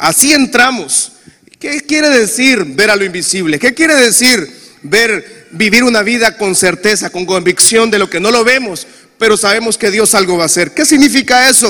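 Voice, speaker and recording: A man speaks in a raised, projected voice. His pitch is high, with lively intonation. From Honduras. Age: 40s. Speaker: pastor. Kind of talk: sermon. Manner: animated.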